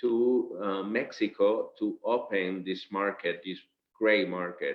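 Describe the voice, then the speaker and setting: Fairly low in pitch, a man with a Spanish accent speaks with fairly even intonation. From Venezuela. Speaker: company director. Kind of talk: business presentation. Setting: video call. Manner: halting.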